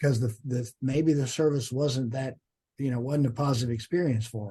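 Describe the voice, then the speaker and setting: A man's somewhat breathy voice at medium pitch, dark and mellow in tone, with fairly even intonation. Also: moderate pace. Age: 60s. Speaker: judge. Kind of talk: podcast interview. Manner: halting.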